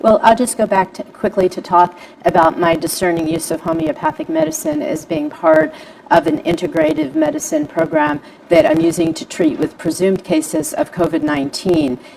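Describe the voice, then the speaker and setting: Noticeable background noise sounds throughout the clip. A woman speaks fairly quickly over it. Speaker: homeopathic practitioner. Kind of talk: panel presentation. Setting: Facebook live stream. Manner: fast.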